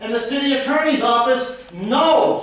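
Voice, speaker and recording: Loud and with an American accent, a man speaks at an extremely high pitch amid noticeable background noise and audible room echo. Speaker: citizen speaking at council meeting. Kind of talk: public comment at council meeting. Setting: city council meeting.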